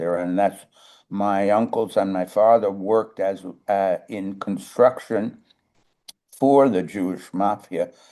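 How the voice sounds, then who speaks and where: A man with a New York accent talks at a fairly slow pace in a fairly low pitch and a dark, mellow tone. His intonation is fairly even, and the background is quiet. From Brooklyn, New York. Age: 80s+. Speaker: composer and musician. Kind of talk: casual chat. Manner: halting, many fillers.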